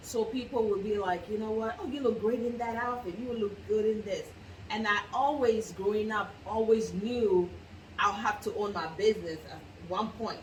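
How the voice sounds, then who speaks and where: In a room with audible echo and noticeable background noise, a woman speaks with an African accent. Her pitch is fairly high, her pitch variation ordinary, and her pace moderate. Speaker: clothing business owner. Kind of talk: interview.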